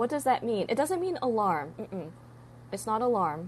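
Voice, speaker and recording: A woman with vocal fry speaks at a moderate pace and a fairly high pitch, her pitch swinging very widely. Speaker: English teacher. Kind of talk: live stream lesson. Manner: animated.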